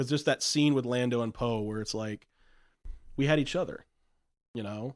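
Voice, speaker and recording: A man speaks at a fairly quick pace with ordinary pitch variation. The sound is dry and close, with no echo. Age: 30s. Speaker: returning podcast guest. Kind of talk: casual chat. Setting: studio. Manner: animated.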